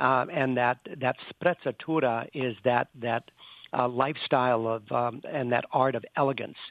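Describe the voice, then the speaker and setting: A man's ordinary speaking voice at medium pitch, with fairly even intonation and a fairly slow pace. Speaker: senior living executive and author. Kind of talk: interview.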